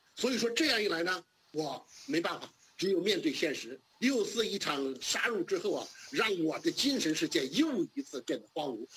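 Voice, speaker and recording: A man speaks at a moderate pace with a high pitch and very wide pitch swings. Noticeable background noise runs behind him. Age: 60s. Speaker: democracy activist. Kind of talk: interview.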